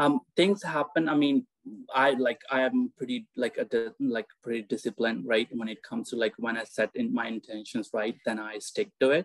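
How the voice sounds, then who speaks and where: Recorded with a dry sound and no echo, a man with a slight Indian-Canadian accent speaks at a moderate pace. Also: quiet background. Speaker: guest, spiritual seeker; guest. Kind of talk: casual interview chat. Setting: video call. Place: home room. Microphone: video call.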